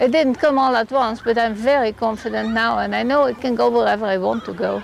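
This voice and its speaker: With crowd noise in the background, a woman speaks at a fairly quick pace. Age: 70s. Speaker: post-polio patient. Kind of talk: testimonial interview.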